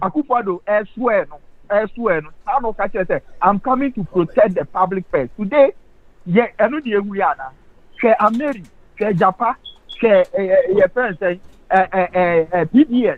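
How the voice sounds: With lively intonation and few pauses, a man speaks at a high pitch and a moderate pace.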